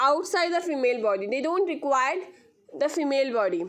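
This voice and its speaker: A woman's high-pitched voice with lively intonation and audible room echo. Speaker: school science teacher. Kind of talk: lecture. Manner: slow; repetitive, halting.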